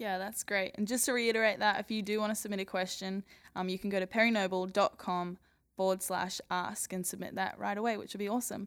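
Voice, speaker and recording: A woman speaks with an Australian accent at a very fast pace. Her tone is enthusiastic. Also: medium pitch for a woman. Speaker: podcast co-host introducing the show. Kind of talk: interview, enthusiastic intro.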